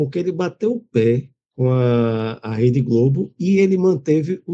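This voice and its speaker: The man's voice is at a medium pitch. Its pitch varies in an ordinary way. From Pernambuco, Brazil. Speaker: journalist. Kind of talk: casual chat.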